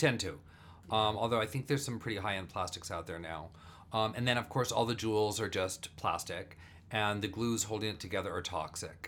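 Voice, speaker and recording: A man with a plain, everyday voice talks at a fairly quick pace, with a fairly low pitch and ordinary pitch variation. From US, Burbank, California. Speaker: actor and improviser. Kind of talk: casual chat. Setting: home studio.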